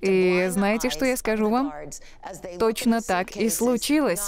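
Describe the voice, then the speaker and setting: With an unremarkable speaking voice, a woman talks at a fairly slow pace in a fairly high pitch, her intonation lively. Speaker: minister and evangelist. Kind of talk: testimony. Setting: studio.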